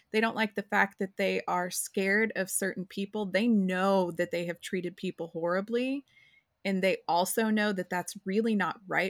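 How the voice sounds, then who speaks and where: A woman with an ordinary speaking voice, medium pitch and fairly even intonation, on a very clean recording with a silent background and a dry, close sound with no echo. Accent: American. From rural Oklahoma. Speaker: podcast co-host. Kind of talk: casual chat.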